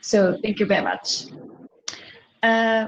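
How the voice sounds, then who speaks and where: A woman speaks with a Japanese accent at a fairly slow pace. Her voice is somewhat breathy and fairly high-pitched. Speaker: panel moderator. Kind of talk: panel moderation. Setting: virtual conference.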